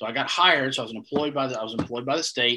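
A man with a North Carolina accent, bright and sharp in tone, at a fairly quick pace. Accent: Southern US (North Carolina). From US South, Eastern North Carolina. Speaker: head groundskeeper. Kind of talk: casual interview chat.

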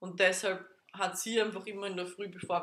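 The voice is a woman's with a bright, sharp tone. Her intonation is monotone and flat. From Austria, Vienna. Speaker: podcast co-host. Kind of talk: casual chat.

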